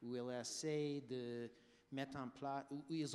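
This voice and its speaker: Speaking with an English accent, a man uses a medium pitch. He goes at a very slow pace with fairly even intonation. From United States. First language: English (speaking French). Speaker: health policy expert. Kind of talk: panel debate. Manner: halting.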